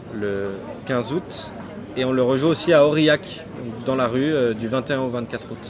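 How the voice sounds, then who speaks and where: A man with a medium pitch and ordinary pitch variation speaks at a very slow pace, leaving long, frequent pauses. Audible room echo and noticeable background noise fill the recording. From Jura, France. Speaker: stage actor. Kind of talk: interview.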